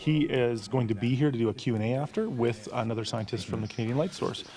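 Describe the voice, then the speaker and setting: With music in the background, the speaker talks at a very fast pace with ordinary pitch variation. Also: man. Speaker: theatre executive director. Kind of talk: casual interview chat.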